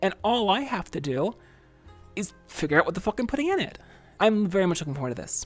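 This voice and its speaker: Over music in the background, a woman talks at a very fast pace with a medium pitch. Her pitch swings very widely, and she takes long, frequent pauses. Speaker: virtual streamer, ASMR creator. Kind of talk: casual talk to camera, livestream Q&A.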